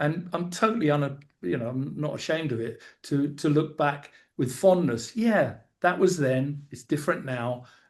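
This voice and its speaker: With lively intonation and a fairly high pitch, a man talks at a moderate pace in a somewhat breathy voice. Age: 60s. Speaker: podcast host. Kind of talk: casual chat. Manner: halting.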